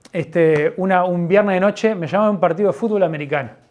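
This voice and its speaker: With a Uruguayan accent, a man talks with ordinary pitch variation. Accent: Rioplatense Spanish (Uruguayan). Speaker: pastor. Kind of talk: sermon. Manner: halting, with many false starts.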